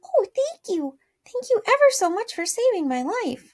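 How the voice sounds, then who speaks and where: Using a put-on character voice, a woman speaks at a moderate pace in a squeaky, extremely high register with very wide pitch swings. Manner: grateful.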